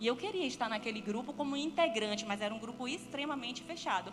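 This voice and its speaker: With a northeastern Brazilian accent, a woman speaks at a high pitch with lively intonation, amid audible room echo and noticeable background noise. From Brazilian Northeast. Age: 30s. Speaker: guest speaker, entrepreneur and business consultant. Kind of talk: church talk with personal testimony.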